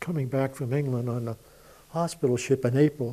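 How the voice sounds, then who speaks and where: A man speaks at medium pitch and a moderate pace. His tone is dark and mellow. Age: 80s+. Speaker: war veteran. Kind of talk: oral history interview. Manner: conversational, with fillers.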